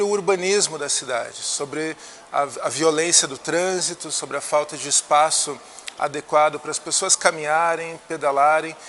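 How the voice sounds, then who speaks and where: A man speaks with fairly high pitch and fairly even intonation. Noticeable background noise is present. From Brazil, Curitiba (Paraná). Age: 40s. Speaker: politician. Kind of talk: interview.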